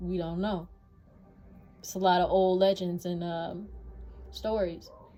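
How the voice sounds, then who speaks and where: Music plays in the background as a woman talks at a medium pitch. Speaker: vlogger. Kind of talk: casual monologue. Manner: loud.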